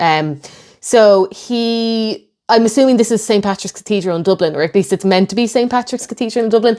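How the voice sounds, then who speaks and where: This voice has an Irish accent and a dark, mellow tone, with ordinary pitch variation. The pace is fairly quick, and the recording is very clean with a silent background. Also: woman, fairly high pitch for a woman. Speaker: history YouTuber. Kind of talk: video reaction commentary.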